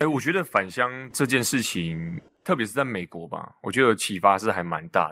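In a very clean recording with a silent background, a man speaks at a moderate pace in a medium pitch, his bright, sharp tone marked by very wide pitch swings and big swings in loudness. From Taiwan, Changhua; abroad from age 13. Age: young. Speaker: county council candidate. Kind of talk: interview.

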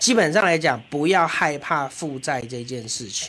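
Over noticeable background noise, a man's fairly high voice moves in very wide pitch swings. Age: young. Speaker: city councillor. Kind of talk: casual chat.

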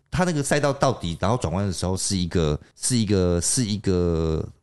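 A man's voice with very wide pitch swings over a quiet background. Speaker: podcast co-host. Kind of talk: casual chat.

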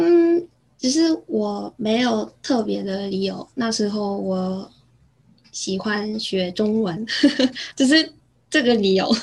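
A woman with a Korean accent, fairly high-pitched and somewhat breathy, with lively intonation at a very slow pace. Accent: Korean-accented Mandarin. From South Korea, near Busan. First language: Korean (speaking Chinese). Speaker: former exchange student. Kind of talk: casual interview. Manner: halting, many fillers.

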